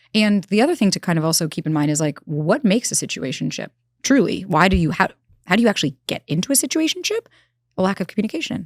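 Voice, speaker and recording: A woman talks at a very fast pace in an animated tone with very wide pitch swings, recorded very cleanly against a silent background with a dry, close sound and no echo. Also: medium pitch for a woman. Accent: New York. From New York. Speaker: relationship expert. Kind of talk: interview.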